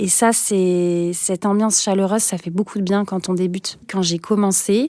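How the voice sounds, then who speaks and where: Her dark, mellow tone comes through a dry, close sound with no echo as the woman speaks at a fairly slow pace with ordinary pitch variation. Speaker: teacher. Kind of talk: interview testimony. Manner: hesitant with frequent fillers.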